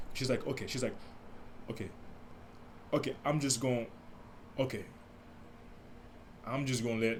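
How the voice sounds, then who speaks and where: A soft-spoken man talks at a fairly quick pace with a medium pitch. His intonation is fairly even, and audible room echo surrounds him. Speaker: podcast host. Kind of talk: casual monologue. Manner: halting.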